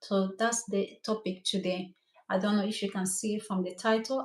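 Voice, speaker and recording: With a Cameroonian French accent, a woman talks at a moderate pace in a medium pitch. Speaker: hair stylist. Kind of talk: live stream talk. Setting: livestream. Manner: animated.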